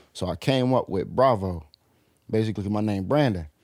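A man with an American accent speaks in an ordinary speaking voice, fairly low in pitch, with ordinary pitch variation. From Portsmouth, Virginia (from age 9; born Wilmington, Delaware). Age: 20s. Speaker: rapper. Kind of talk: casual chat.

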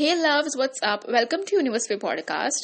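Using a put-on character voice, a woman speaks hoarsely in a high pitch at a fairly quick pace. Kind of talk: casual, friendly.

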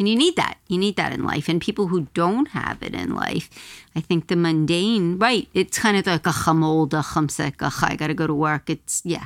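Recorded with a dry, close sound and no echo, a woman with an unremarkable speaking voice talks at a moderate pace in a fairly low pitch with ordinary pitch variation. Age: 50s. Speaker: former teacher. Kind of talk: casual chat.

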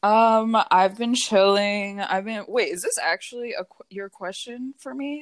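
With an American accent, a woman talks at a fairly slow pace, hardly pausing, at a fairly high pitch with ordinary pitch variation. Her loudness swings widely, and the sound is dry and close with no echo. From US Mid-Atlantic. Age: 20s. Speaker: podcast co-host. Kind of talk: casual chat. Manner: filler-heavy, says literally a lot; giggly.

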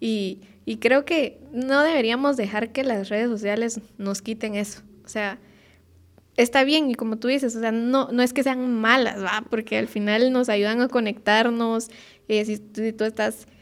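A woman with a fairly high pitch talks in an ordinary speaking voice. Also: fairly even intonation, fairly slow pace. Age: 20s. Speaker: podcast co-host. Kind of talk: casual chat.

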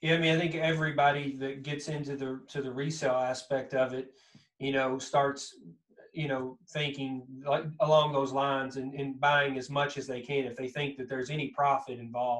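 A man with a strong Southern Kentucky accent, a fairly high pitch and monotone, flat intonation. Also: moderate pace. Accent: thick Southern Kentucky. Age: 40s. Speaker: podcast host. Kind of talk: casual interview chat.

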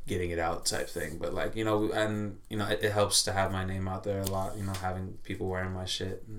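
A man's very deep, low voice in an American accent, flat and monotone at a moderate pace. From Orange County, California. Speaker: musical artist. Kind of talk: casual podcast chat.

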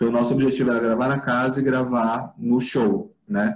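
At a fairly quick pace and medium pitch, a man talks in a plain, everyday voice. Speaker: film director. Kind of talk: casual interview. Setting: video call.

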